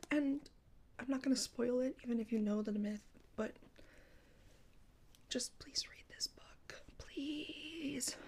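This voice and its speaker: Soft-spoken delivery at a fairly slow pace, with ordinary pitch variation. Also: woman. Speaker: ASMR content creator. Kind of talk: ASMR book show and tell, casual talk to camera.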